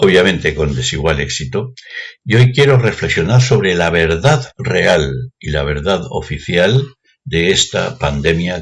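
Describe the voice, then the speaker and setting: With very wide pitch swings, a man delivers his words at a fairly slow pace. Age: 60s. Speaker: retired math teacher. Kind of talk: opinion monologue.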